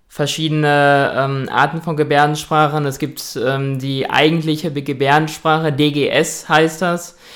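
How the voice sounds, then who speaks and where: A man speaks at a fairly high pitch and a fairly slow pace, his intonation monotone and flat. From Ruhr area, Germany (Dortmund). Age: 20s. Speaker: hearing-impaired guest. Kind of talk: interview.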